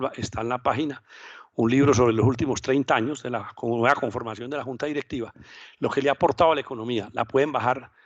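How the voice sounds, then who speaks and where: The delivery runs at a very fast pace with fairly even intonation. The background is quiet. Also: man. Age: 60s. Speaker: finance professor and former bank manager. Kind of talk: lecture.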